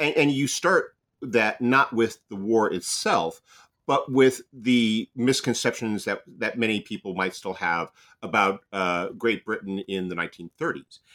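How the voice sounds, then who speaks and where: A man's bright, sharp tone, fairly slow pace, and lively intonation, captured on a very clean recording against a silent background. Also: medium pitch for a man. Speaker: podcast host. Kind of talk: interview.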